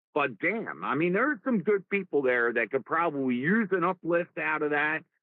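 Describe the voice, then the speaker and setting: Speaking at a moderate pace with lively intonation, a man with a strong New Jersey accent has a fairly high pitch. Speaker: live stream host. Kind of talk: casual chat. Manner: animated.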